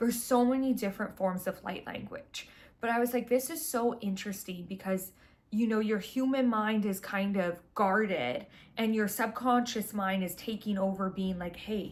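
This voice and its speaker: A woman with a Canadian accent talks at a moderate pace, her pitch fairly high. Her voice is somewhat breathy, with ordinary pitch variation. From Vancouver, Canada. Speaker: spiritual astrology content creator. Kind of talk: casual monologue. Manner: casual, filler-heavy.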